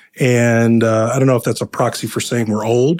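A man with an American accent has an ordinary speaking voice at medium pitch, using ordinary pitch variation at a moderate pace on a very clean recording with a silent background. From Ohio, US Midwest. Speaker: affordable housing investment executive. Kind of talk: interview conversation.

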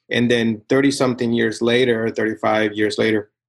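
A man speaks with a Spanish accent. His pitch is medium for a man and his pace is moderate. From Nicaragua. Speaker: tech company CTO and co-founder. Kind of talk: casual interview conversation. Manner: intense, aggressive.

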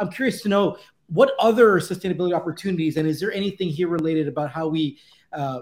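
A man talks at a very fast pace in a high pitch. His pitch varies in an ordinary way, and the recording is very clean with a silent background. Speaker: podcast co-host. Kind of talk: casual chat. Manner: animated.

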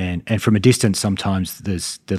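Speaking very fast with an Australian accent, a man with a very deep, low pitch keeps his intonation fairly even on a very clean recording with a silent background and a dry, close sound free of echo. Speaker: private credit investment executive.

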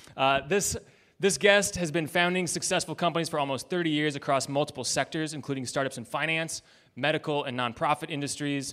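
A man with an unremarkable speaking voice speaks at a fairly high pitch and a fairly quick pace, with fairly even intonation, on a very clean recording with a silent background. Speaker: podcast host. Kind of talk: live podcast interview. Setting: stage with audience.

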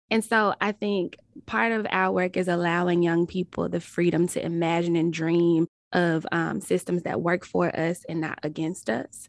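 Speaking with a Southern US accent, a woman keeps her intonation fairly even. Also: dry, close sound with no echo. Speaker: nonprofit executive director. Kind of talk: casual chat.

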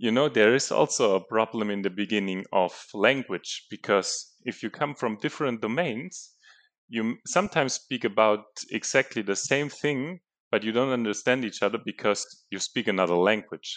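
A man with a German accent, medium pitch and ordinary pitch variation, at a moderate pace over a quiet background. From Germany. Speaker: geophysics researcher. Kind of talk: casual interview.

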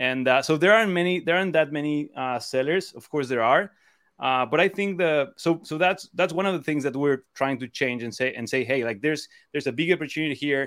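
Speaking at a fairly quick pace, a man with a Spanish accent has a fairly high pitch and ordinary pitch variation. The recording is very clean, the background silent. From Mexico (Cancun). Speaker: e-commerce seller and co-founder. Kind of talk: interview. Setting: live stream. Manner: halting, many repetitions.

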